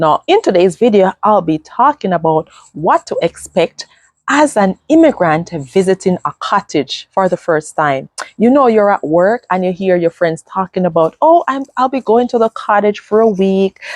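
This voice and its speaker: A woman with a Jamaican accent at medium pitch, moderate pace, animated tone and very wide pitch swings, in a dry, close sound with no echo. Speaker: vlogger. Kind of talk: casual vlog talk to camera.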